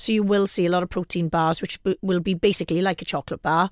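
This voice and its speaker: A woman speaks very fast in a fairly low pitch, her intonation fairly even. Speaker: fitness and diet coach. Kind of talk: casual radio chat. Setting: radio studio.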